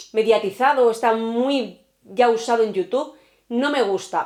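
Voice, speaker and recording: A woman talks with a fairly high pitch. Her tone is animated. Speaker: true crime youtuber. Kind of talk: casual chat to camera. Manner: fast.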